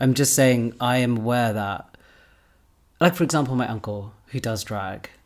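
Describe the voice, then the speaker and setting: Speaking with a British accent, a man keeps a medium pitch, ordinary pitch variation and a moderate pace. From England, British Pakistani family. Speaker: podcast host. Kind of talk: casual chat.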